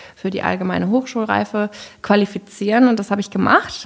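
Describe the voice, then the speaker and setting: This woman has a normal speaking voice. Her pitch is medium, and her intonation is fairly even. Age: 20s. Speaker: headhunter. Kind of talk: casual interview.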